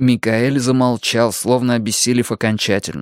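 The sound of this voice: Reading aloud in an unforced voice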